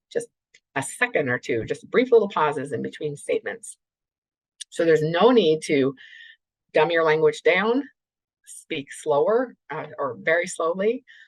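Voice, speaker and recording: A woman's fairly low voice with very wide pitch swings and long, frequent pauses. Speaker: clinical neuropsychologist presenter. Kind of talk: webinar lecture. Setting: remote webinar. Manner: deliberately slowed, with brief pauses.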